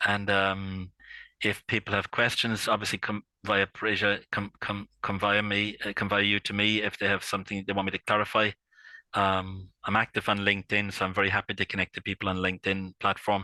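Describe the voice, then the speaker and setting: A man's fairly low-pitched voice with a strong Irish accent and a bright, sharp tone, fairly quick and monotone with flat intonation, dry and close with no echo, on a very clean recording with a silent background. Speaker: intellectual property consultant. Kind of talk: interview. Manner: halting, many fillers and repeats.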